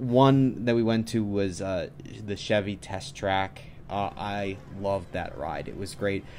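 Light background noise sits under a man whose fairly low pitch shows ordinary variation. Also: fairly slow pace. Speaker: vlogger. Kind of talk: casual vlog chat. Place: home room.

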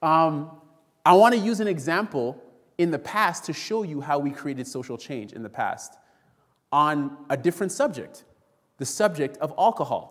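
A man speaks with lively intonation and big swings in loudness against a quiet background. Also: moderate pace. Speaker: preacher. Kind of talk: sermon. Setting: church. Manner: animated, call-and-response, urgent preaching that invites the congregation to say amen. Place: church. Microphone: podium.

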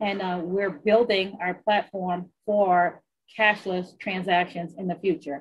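Delivered at a very slow pace, the speech comes with an American accent and fairly even intonation. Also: woman. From US South, southern Louisiana. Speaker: casino executive. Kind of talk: interview. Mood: calm, confident, businesslike. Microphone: video call.

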